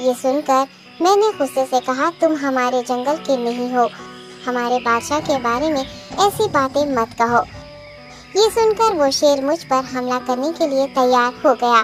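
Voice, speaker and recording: Clear music in the background accompanies a female-sounding, cartoonish character voice at a moderate pace. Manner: deferential.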